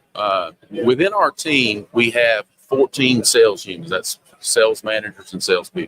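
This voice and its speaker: With a Southern US accent, a man speaks in a dry, close sound with no echo. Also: moderate pace. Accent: noticeable Southern. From US South, Charlotte, North Carolina. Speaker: sales executive in printing industry. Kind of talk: casual interview. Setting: trade show booth.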